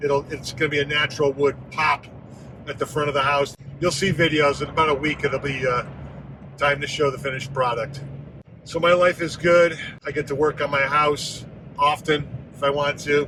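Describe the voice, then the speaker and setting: A man with a fairly high voice speaks at a moderate pace in a flat monotone. He takes long, frequent pauses amid noticeable background noise. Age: 60s. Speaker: vlogger. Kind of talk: personal vlog monologue. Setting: in a car.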